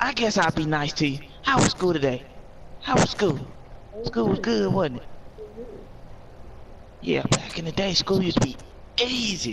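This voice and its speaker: A man puts on a gruff character voice pitched high, swinging very widely in pitch at a moderate pace with long, frequent pauses over loud background noise. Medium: machinima. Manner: gruff, cursing, complaining.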